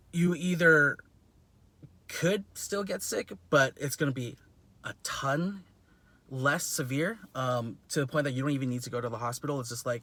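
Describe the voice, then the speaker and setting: Bright and sharp in tone, a man's voice sits at a fairly high pitch with ordinary pitch variation. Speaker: chiropractor and covid tester vlogger. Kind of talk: casual vlog monologue. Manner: fast; filler-heavy, halting restarts.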